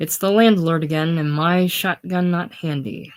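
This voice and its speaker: On a very clean recording with a silent background, a rumbling, put-on character voice speaks at a middle pitch and a moderate pace. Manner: muttering, low and grumbling.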